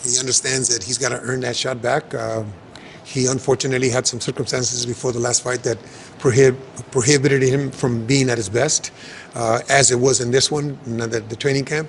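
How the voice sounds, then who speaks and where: Through noticeable background noise, a man talks at medium pitch and a fairly quick pace, with fairly even intonation. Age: 70s. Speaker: boxing trainer. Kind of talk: interview.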